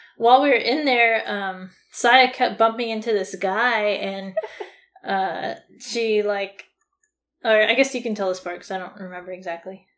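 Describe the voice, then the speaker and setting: At a moderate pace, a woman with an American accent uses an unremarkable speaking voice with ordinary pitch variation and big swings in loudness. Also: fairly high pitch for a woman. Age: 20s. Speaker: podcast co-host, college student. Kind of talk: casual chat.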